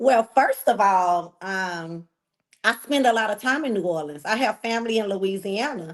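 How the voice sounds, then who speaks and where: Lively intonation in a Texan accent. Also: woman, fairly high pitch for a woman, moderate pace. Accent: Texas country. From Texas, Galveston. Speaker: reality TV contestant. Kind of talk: interview.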